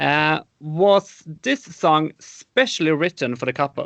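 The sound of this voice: Slow and fairly bright in tone, a man's voice shows vocal fry and big pitch swings. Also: fairly high pitch for a man.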